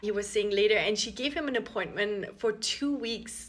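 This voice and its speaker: A woman with an Austrian accent speaks at a moderate pace in a fairly high, bright, sharp tone with ordinary pitch variation. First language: German. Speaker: content creator. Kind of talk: casual vlog storytelling. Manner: chatty, many fillers.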